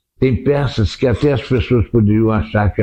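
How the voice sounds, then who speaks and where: A man's fairly low, somewhat breathy voice has a dark, mellow tone. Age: 80s+. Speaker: theatre director. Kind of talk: interview.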